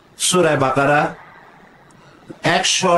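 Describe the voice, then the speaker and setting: A man's fairly high voice with lively intonation over noticeable background noise. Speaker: Islamic preacher. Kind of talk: religious sermon. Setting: outdoor public gathering. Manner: emotional, powerful.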